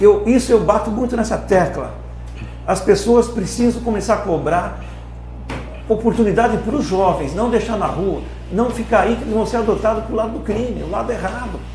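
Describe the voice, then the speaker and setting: A man's fairly quick speech comes with audible room echo and noticeable background noise. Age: 60s. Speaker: company founder. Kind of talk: podcast interview. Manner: impassioned.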